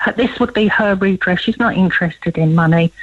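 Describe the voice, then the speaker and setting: There is noticeable background noise behind a woman's medium-pitched voice. She speaks at a moderate pace with ordinary pitch variation. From London, England. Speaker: campaigner for a relative. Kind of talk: radio phone interview.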